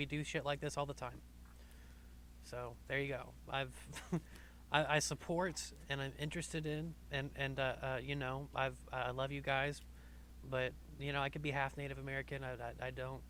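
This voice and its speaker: Long, frequent pauses from a man keeping a moderate pace. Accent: Southern. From US South. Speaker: podcast host. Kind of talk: casual chat.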